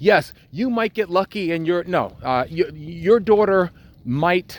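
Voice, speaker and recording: In a very clean recording with a silent background, the talking proceeds at a moderate speed. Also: man. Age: 60s. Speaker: brain tumor patient and vlogger. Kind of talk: personal video monologue. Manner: halting, many fillers and repetitions.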